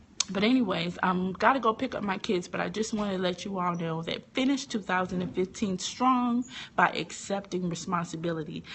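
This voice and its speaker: A woman speaks at a moderate pace and a medium pitch, somewhat breathy. Her tone is animated, with ordinary pitch variation. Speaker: teacher and online inspirational speaker. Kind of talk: motivational talk on a live stream. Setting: live video broadcast from a phone. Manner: animated, preachy.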